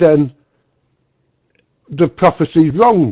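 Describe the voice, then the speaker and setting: A man speaks in a Mancunian accent. The sound is dry and close, with no echo. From northern England, Manchester. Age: 60s. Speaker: guest in a religious dialogue room. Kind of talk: casual conversation. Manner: halting, repeats words.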